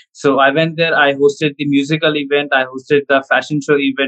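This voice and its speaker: A man talks at a fairly quick pace with hardly any pauses, his fairly high voice held in monotone, flat intonation. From India. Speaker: comedy content creator. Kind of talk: casual interview chat. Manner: talkative, fluent.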